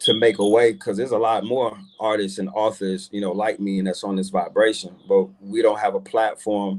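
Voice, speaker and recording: A man with an American accent and a plain, everyday voice talks at a moderate pace with hardly any pauses. His pitch is fairly low and his intonation fairly even. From New Jersey. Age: 30s. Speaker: musician and author. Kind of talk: interview.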